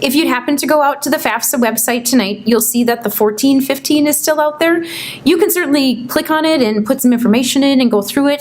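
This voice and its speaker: Against noticeable background noise, a woman speaks at a very fast pace with lively intonation. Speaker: financial aid presenter. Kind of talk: informational seminar presentation.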